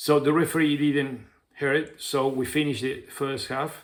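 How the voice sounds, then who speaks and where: Very slowly, a man speaks with fairly even intonation. The recording is very clean, and the background is silent. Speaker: football coach and YouTuber. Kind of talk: casual monologue vlog. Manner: hesitant, many fillers.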